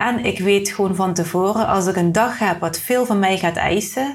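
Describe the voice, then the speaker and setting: A woman's voice is somewhat breathy. Her intonation stays fairly even. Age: 30s. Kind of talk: casual interview. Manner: halting.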